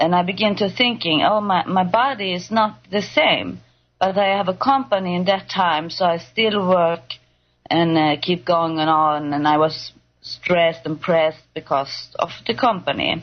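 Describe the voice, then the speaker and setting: A woman speaks with a Swedish accent. Her pitch is fairly low. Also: ordinary pitch variation, fairly slow pace. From Sweden. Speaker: patient guest. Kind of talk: testimony. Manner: halting.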